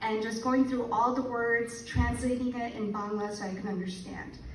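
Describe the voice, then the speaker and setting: There is noticeable background noise and audible room echo. A woman with a fairly high pitch speaks at a moderate pace. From New Jersey, US (moved from Bangladesh at 7). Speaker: author's daughter giving a tribute. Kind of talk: speech at a book launch. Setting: event with audience.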